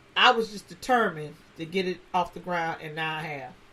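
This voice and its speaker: A woman speaks with a Southern US accent at medium pitch. She keeps a moderate pace and lively intonation. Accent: Southern US, country. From South Carolina. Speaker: podcast host. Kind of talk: casual monologue. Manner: animated.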